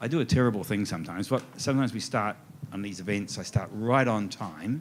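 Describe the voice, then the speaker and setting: Talking at a very fast pace, a man with an Australian accent keeps a fairly low pitch and ordinary pitch variation. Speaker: author. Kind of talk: author talk at festival event. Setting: stage with audience.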